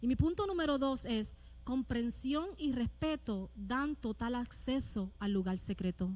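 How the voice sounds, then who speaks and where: A loud, high-pitched woman at a fairly slow pace, with lively intonation. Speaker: pastor. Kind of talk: sermon. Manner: rises in volume, loud.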